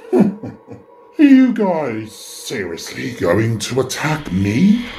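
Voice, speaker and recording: At a very slow pace, the speaker performs in a put-on character voice. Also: man, medium pitch for a man. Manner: sneering, sarcastic.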